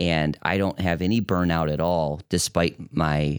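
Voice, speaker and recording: A man with an American accent and a very deep, low pitch speaks fairly slowly with vocal fry. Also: dry, close sound with no echo, very clean recording, silent background. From US Midwest, Metro Detroit. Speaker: physician in fellowship training. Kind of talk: casual interview.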